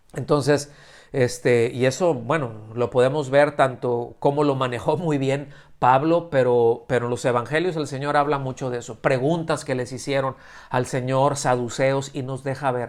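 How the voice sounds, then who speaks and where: This man's medium-pitched voice has fairly even intonation and a moderate pace. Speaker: preacher. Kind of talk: sermon. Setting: church service streamed via video call. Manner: halting, many fillers and restarts.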